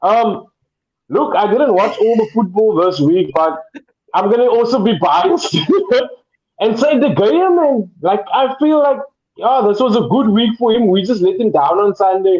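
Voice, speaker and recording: This man has a high pitch and lively intonation, moving at a moderate pace. His loudness stays very even throughout. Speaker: football podcast panelist. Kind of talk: casual chat.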